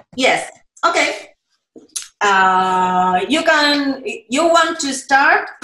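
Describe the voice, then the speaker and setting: A woman with a high, raised, projected voice swings very widely in pitch, speaking at a very slow pace with long, frequent pauses amid audible room echo. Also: bright, sharp tone. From Argentina. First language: Spanish. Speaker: children's book illustrator. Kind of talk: storytelling summary in Spanish for children; conversational explanation for children. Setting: video call. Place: home room. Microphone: video call.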